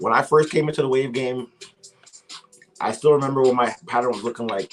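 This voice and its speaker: Music sits in the background as a man speaks at medium pitch with ordinary pitch variation. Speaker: livestream host on hair waves. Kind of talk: casual livestream chat.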